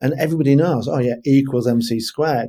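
A man talks at a fairly quick pace in a fairly high voice with a dark, mellow tone. His pitch varies in an ordinary way. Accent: English. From England. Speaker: leadership consultant. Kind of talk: interview.

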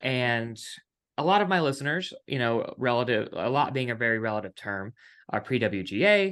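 Lively intonation marks an ordinary speaking voice delivered at a moderate pace against a quiet background. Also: man, medium pitch for a man. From West Virginia. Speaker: podcast host and TV writer. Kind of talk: casual interview chat. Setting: video call.

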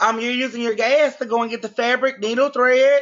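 With a Louisiana accent, a woman speaks at a high pitch and with fairly even intonation. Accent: US Southern, Louisiana. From Louisiana, Shreveport. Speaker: fashion designer. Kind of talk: interview.

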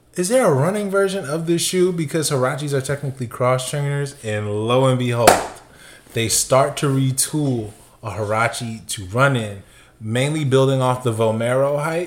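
A medium-pitched male voice amid noticeable background noise. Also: ordinary pitch variation, moderate pace. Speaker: sneaker podcast co-host. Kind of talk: casual chat. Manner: calm.

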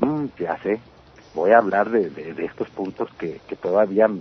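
A man speaks at a fairly slow pace with a fairly low pitch. His intonation is lively, in an ordinary speaking voice. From Mexicali, Baja California, Mexico. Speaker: punk singer and songwriter. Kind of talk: interview.

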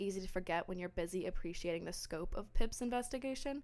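A woman talks at a very fast pace. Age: 20s. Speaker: podcast host, book club. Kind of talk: casual solo podcast monologue.

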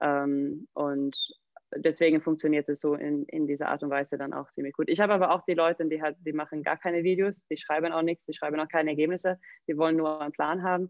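Very fast and monotone, a woman speaks in a very deep, low voice with flat intonation. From southern Sweden, near Malmö. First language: Swedish (speaking German). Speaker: CrossFit coach and gym owner. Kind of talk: interview.

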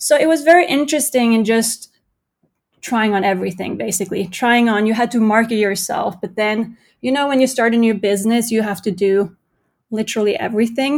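A woman with a Norwegian accent, fairly high in pitch, at a fairly quick pace with ordinary pitch variation, in a very clean recording over a silent background. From Norway. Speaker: entrepreneur. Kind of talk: interview.

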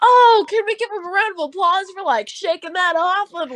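In a put-on character voice, a woman speaks with an energetic tone at an extremely high pitch and a moderate pace. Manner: hyped, energetic.

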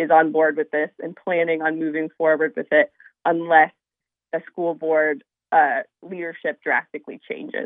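Speaking at a moderate pace, a woman has a fairly low pitch. It is an unremarkable speaking voice. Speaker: parent and activist. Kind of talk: radio interview. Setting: phone call.

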